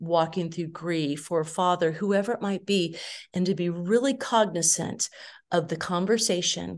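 At a fairly slow pace, a woman with an American accent and an ordinary speaking voice talks in a fairly low pitch with ordinary pitch variation over a quiet background. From California. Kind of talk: casual interview.

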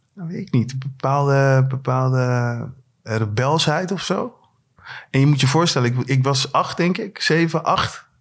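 A man speaks in a fairly high voice. It sounds somewhat breathy. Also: ordinary pitch variation, very clean recording, silent background. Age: 40s. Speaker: rapper. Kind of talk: casual chat. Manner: halting.

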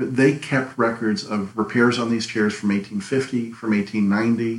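Fairly low in pitch, a man talks at a fairly slow pace in an unremarkable speaking voice with fairly even intonation. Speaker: antique furniture dealer. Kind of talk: interview.

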